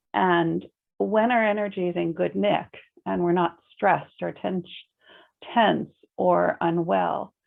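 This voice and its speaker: A woman speaks with an American accent. Her speech has long, frequent pauses. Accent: American, noticeable in Ireland. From United States. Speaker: complementary therapy practitioner. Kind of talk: interview chat.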